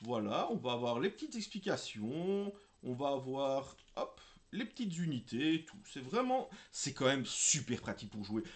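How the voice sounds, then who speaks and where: A man talks at a fairly slow pace in a fairly high pitch, his pitch swinging very widely. His loudness also swings a lot. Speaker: miniature wargaming YouTuber. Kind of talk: casual unboxing video. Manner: chatty, informal with filler sounds.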